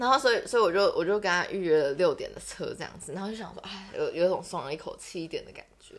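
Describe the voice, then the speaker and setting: Barely pausing, a woman speaks at a very fast pace with big swings in loudness. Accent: Taiwanese. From Taiwan, Taichung. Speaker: podcast co-host. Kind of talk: casual chat.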